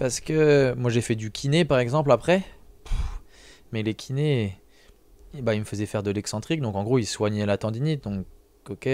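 At a moderate pace, a man speaks with ordinary pitch variation and long, frequent pauses, the sound dry with no echo. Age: younger than 42. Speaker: strength athlete; podcast guest or host. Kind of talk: casual chat. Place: studio. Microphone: studio mic.

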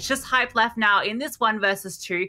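A woman talks at a fairly quick clip in a fairly high pitch, her tone bright, sharp and energetic. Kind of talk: esports match commentary. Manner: fast, clipped play-by-play delivery; energetic, tracking each kill as it happens.

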